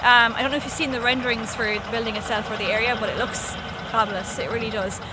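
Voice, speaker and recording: In a Limerick accent, a woman speaks at a fairly high pitch with monotone, flat intonation, amid audible room echo and noticeable background noise. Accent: Irish (Limerick). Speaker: journalist. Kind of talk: casual chat.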